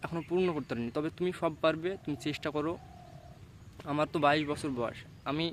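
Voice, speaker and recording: This is a man with a fairly high pitch. His intonation is fairly even. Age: 20s. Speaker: motivational YouTuber. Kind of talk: motivational monologue. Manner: halting.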